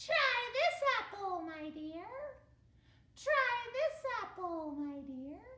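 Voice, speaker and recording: In a put-on character voice, a female-sounding voice squeaks at an extremely high pitch with very wide pitch swings, a very slow pace and slight echo. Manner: sinister, sweet-talking.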